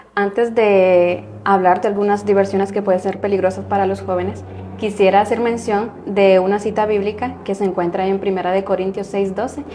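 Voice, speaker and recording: A woman's medium-pitched voice stays monotone and flat at a moderate pace, with noticeable noise in the background. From Guatemala. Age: 20s. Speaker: religion student. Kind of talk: religious discussion.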